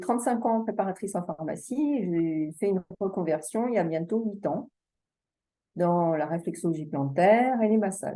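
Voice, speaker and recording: Her dark, mellow voice moves at a fairly slow pace as the woman speaks with ordinary pitch variation. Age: 60s. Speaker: massage therapist and reflexologist, coaching client. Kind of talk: testimony. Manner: halting.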